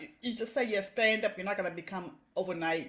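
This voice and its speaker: The speaker talks at a fairly quick pace with an American accent over noticeable background noise. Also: woman. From Boston, Dorchester. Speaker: comedian and writer. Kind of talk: casual interview.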